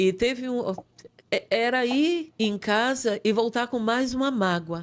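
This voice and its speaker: This woman's voice sits high in pitch, moving at a very slow pace with very even loudness and ordinary pitch variation. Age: 60s. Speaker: pastor. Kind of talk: testimony.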